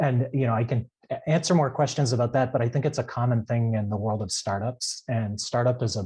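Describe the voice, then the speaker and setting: In a dark, mellow, somewhat breathy tone, a man speaks at a very fast pace on a very clean recording with a silent background. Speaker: data scientist with physics PhD. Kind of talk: panel talk on careers. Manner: halting, many fillers; unprepared, off the cuff.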